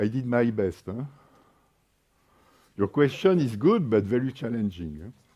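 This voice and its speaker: With a French accent, a man speaks in a dark, mellow tone with lively intonation. His pace is moderate, with long, frequent pauses. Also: medium pitch for a man. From France. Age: 60s. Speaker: energy market expert and workshop moderator. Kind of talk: panel workshop talk. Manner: hesitant, with fillers.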